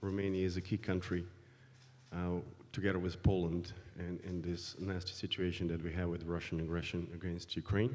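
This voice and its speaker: Audible room echo surrounds a man's voice. His pitch is very deep and low, with a dark, mellow tone. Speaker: foreign policy researcher. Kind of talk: panel introduction. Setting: conference panel. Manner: hesitant, many fillers.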